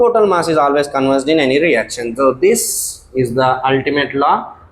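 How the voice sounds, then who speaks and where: A man speaks at a moderate pace with an Indian accent. His pitch sits fairly high. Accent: Indian English (Telugu). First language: Telugu. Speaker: science teacher. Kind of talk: lecture. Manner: hesitant fillers.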